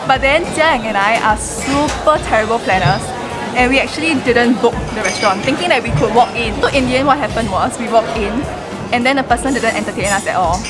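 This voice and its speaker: Music plays behind the speaker. The words come very fast. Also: woman. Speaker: vlogger. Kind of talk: casual vlog chat. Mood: excited, cheerful. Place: cafe. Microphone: phone near.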